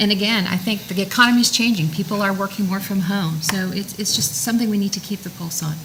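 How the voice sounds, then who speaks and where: With hardly any pauses, a woman at a medium pitch speaks at a very fast pace with ordinary pitch variation over noticeable background noise. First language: French. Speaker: town council candidate. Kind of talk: candidate forum answer. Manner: halting.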